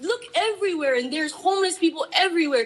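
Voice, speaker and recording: A woman with a Hawaiian accent speaks at an extremely high pitch with lively intonation. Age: 30s. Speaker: public testifier. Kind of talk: public testimony. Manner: impassioned.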